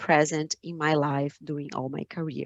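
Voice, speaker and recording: Speaking at a fairly slow pace, a woman has a Brazilian accent. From Brazil, São Paulo state. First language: Portuguese. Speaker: finance entrepreneur, conference speaker. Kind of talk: conference talk. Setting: video call webinar. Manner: halting, many fillers and repeats.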